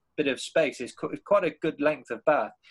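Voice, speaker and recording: With a British accent, a man speaks at a fairly high pitch and a moderate pace, his pitch varying in an ordinary way. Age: 30s. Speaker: podcast host. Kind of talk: casual interview chat.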